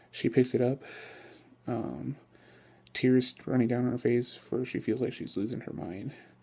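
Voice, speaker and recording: A man's medium-pitched voice with vocal fry, a dark, mellow tone, a moderate pace and fairly even intonation. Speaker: vlogger. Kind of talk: improvised ghost story telling; casual vlog. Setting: filmed late at night at home. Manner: halting, filler-heavy improvised storytelling; casual, friendly. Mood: low, suspenseful narration. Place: home room.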